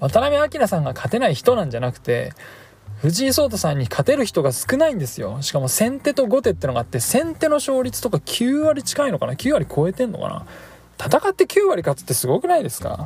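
Noticeable background noise runs under the voice. The speaker talks at a fairly quick pace. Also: man. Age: 30s. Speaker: podcast host. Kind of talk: casual solo talk. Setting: in a car.

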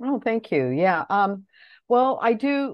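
With an American accent, a woman speaks in very wide pitch swings. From US Midwest, Detroit area. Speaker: language teacher and poet. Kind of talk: interview.

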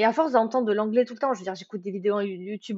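Her intonation fairly even, a woman speaks at a fairly high pitch. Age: 20s. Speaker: book podcaster. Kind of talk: casual monologue. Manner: talkative; hesitant, many fillers.

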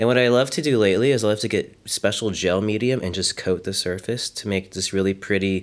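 A man with an American accent has a fairly low pitch and ordinary pitch variation, an unremarkable speaking voice. The recording is very clean, with a silent background. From US, Frederick, Maryland. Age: 30s. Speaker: art teacher and sculptor. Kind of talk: casual interview.

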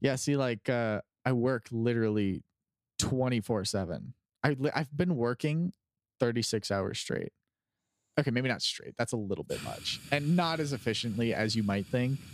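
In a very clean recording with a silent background and a dry, close sound with no echo, a man uses a normal speaking voice at a medium pitch, a moderate pace and ordinary pitch variation. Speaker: podcast co-host. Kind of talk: casual chat.

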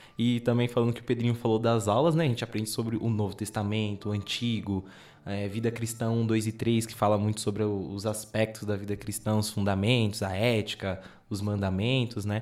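A man talks at a fairly quick pace in a fairly low pitch. His intonation is monotone and flat, and the recording is very clean with a silent background. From São Paulo city, Brazil. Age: 20s. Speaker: Bible course student. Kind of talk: casual chat.

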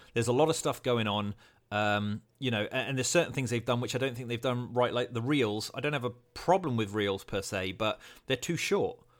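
This is a man with a British accent. He speaks at a fairly quick pace. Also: medium pitch for a man, ordinary pitch variation, very clean recording, silent background. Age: 40s. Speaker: podcast host. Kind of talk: casual interview chat. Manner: relaxed, improvised.

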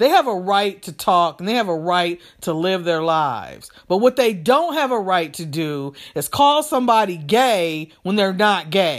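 In a furious tone, the speaker goes at a fairly slow pace with hardly any pauses, on a very clean recording with a silent background. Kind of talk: angry rant. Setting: solo podcast, talking alone to the audience. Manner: furious, loud, emphatic, swearing and repeating for emphasis; preachy, convinced, talking directly to listeners.

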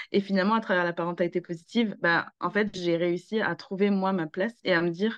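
A woman with a normal speaking voice talks at a fairly quick pace, at medium pitch and with fairly even intonation. The recording is dry and close, with no echo. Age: 30s. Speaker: parenting coach. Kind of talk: casual chat.

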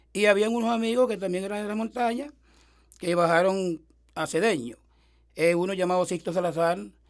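On a very clean recording with a silent background, a man with a high pitch talks at a fairly quick pace, with ordinary pitch variation and long, frequent pauses. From eastern Venezuela, rural mountains of Sucre. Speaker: folk musician. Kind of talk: life-story interview. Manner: halting.

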